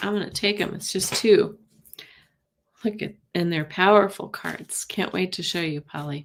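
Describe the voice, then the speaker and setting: A woman at a fairly slow pace, with big swings in loudness and ordinary pitch variation. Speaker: tarot card reader. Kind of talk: live stream tarot reading. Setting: live stream. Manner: soft-spoken; halting.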